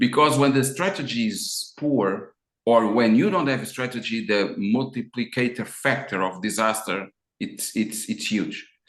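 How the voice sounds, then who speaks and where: This man speaks at medium pitch with an Azorean accent. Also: ordinary pitch variation, moderate pace. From Azores, Portugal. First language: Portuguese. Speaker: business consultant. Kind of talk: interview. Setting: video call.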